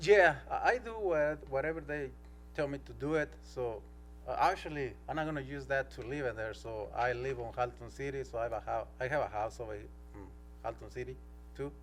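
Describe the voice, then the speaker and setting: Audible room echo carries a man's fairly quick speech in a non-native accent. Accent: non-native English speaker. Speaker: applicant for a permit, used car seller. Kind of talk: public hearing testimony. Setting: city council meeting. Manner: halting.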